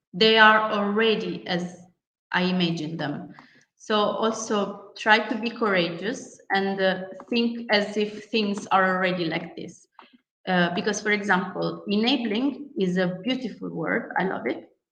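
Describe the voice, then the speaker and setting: Over audible room echo, a woman with a non-native accent talks at a very slow pace in a medium pitch. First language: not English. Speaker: workshop facilitator. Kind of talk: online workshop lecture. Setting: video call. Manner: hesitant, many fillers.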